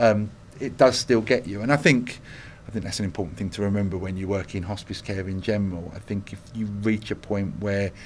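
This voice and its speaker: Here a man talks with an East London accent at a fairly quick pace. His pitch is fairly low and his intonation fairly even. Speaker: hospice chief executive. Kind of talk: interview.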